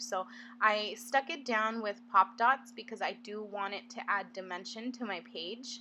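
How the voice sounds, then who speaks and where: A woman's fairly high, bright and sharp voice at a fairly slow pace. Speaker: scrapbooking crafter. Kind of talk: voiceover narration of process video. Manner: stuttering, many fillers.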